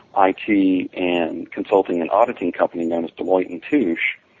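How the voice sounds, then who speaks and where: A normal speaking voice moves at a moderate pace. Its pitch varies in an ordinary way. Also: man. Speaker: database expert and author. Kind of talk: interview.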